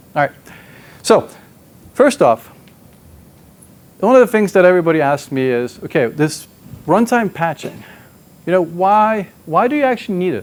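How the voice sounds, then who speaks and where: A high-pitched man with very wide pitch swings and long, frequent pauses. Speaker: software engineer presenting at a tech conference. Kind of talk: conference talk. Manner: fast; excited, jittery.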